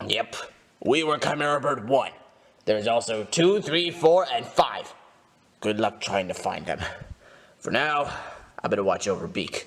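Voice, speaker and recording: Using a put-on character voice with a fairly high pitch, a man speaks at a moderate pace, leaving long, frequent pauses. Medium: machinima.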